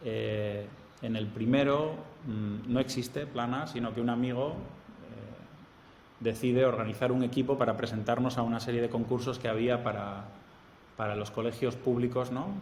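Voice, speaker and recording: With a strong Spanish accent, a man talks at medium pitch with fairly even intonation and long, frequent pauses, and the room echo is audible. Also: moderate pace. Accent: Spanish accent, strong, easily identifiable. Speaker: architect and professor. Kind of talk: interview.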